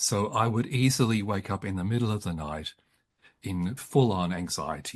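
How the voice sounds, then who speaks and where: A man with an Australian accent, fairly low-pitched and somewhat breathy, with lively intonation. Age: 70s. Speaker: psychologist and author. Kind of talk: interview about psychology. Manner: halting, frequent repetitions.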